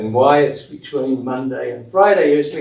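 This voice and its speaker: Audible room echo surrounds this voice. It speaks at a fairly slow pace in an Australian accent. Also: man. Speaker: municipal official at a zoning board meeting. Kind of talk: public meeting announcements.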